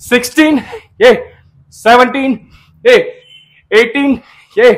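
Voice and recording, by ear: A man speaks at a slow pace, his pitch extremely high and his intonation fairly even.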